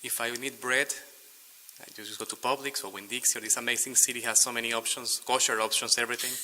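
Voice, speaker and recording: A man with a medium pitch talks at a very fast pace in a monotone, flat way. Noticeable background noise is present. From Venezuela. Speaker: public commenter. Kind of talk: public comment at city meeting. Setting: city commission chamber.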